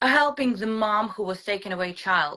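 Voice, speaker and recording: In a Ukrainian accent, a woman talks at a fairly slow pace with a bright, sharp tone. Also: very clean recording, silent background. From Ukraine. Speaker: mother telling her story. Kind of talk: testimony. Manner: halting.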